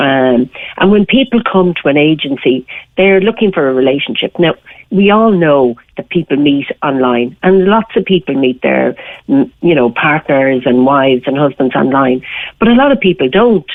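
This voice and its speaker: Lively intonation at a moderate pace, in an Irish accent. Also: woman, very deep, low pitch for a woman. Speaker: matchmaker. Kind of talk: radio interview.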